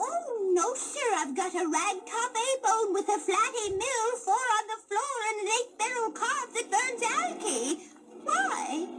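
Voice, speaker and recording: A woman's extremely high, cartoonish character voice with lively intonation over loud background noise. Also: fairly slow pace. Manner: sweet, chirpy, giggly.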